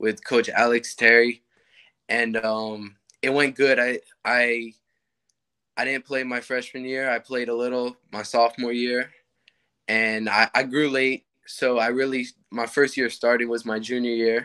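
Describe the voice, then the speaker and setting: A man speaks at a fairly slow pace in a flat monotone, with long, frequent pauses and a quiet background. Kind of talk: interview answer. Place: home room. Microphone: video call.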